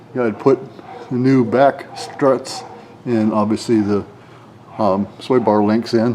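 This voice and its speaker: A man at medium pitch, very slow with long, frequent pauses and fairly even intonation, over noticeable background noise. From northwestern Pennsylvania. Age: 60s. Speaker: auto mechanic. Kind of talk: casual tutorial walkthrough. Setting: garage workshop. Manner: casual, halting with fillers.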